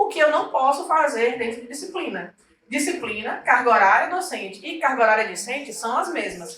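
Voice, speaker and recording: A woman speaks at a fairly quick pace in a high pitch with lively intonation. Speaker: university systems trainer. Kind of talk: training session.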